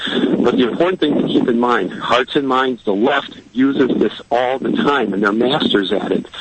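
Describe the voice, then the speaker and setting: Over noticeable background noise, a man with an American accent speaks in a medium-pitched voice with ordinary pitch variation. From Chicago. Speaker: caller. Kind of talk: call-in radio talk. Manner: halting.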